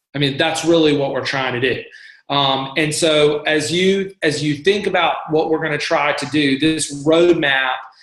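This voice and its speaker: A man talks with fairly high pitch and fairly even intonation. Room echo is audible. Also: moderate pace. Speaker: church staff member leading volunteer training. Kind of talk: coaching call presentation.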